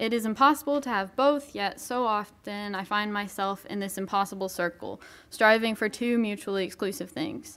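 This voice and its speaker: A woman speaks at a medium pitch and a moderate pace, with ordinary pitch variation. She leaves hardly any pauses. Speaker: college student. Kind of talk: testimony. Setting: church. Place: church. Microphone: podium.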